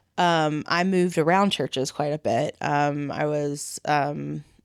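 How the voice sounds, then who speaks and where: Recorded dry and close with no echo, a woman speaks with fairly even intonation. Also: very clean recording, silent background. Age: adult. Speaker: ordination candidate. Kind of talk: conversational interview. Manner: loud.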